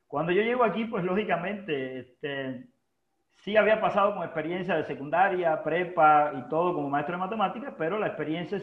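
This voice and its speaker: Fairly quick pace from a man with a high pitch and ordinary pitch variation. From Cuba, Holguín. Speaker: university administrator and former teacher. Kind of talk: casual interview. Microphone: unstable internet connection.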